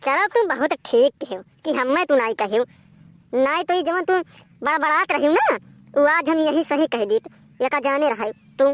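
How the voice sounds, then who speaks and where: A woman does a cartoonish character voice, high-pitched and lively in intonation, at a fairly quick pace. Long pauses come often, and the sound is dry and close with no echo. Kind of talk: comic cartoon quarrel. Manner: grumbling, blustering, sarcastic.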